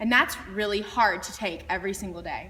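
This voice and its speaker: A woman speaks loud at a medium pitch over noticeable background noise. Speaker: beauty pageant titleholder. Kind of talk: inspirational talk to students.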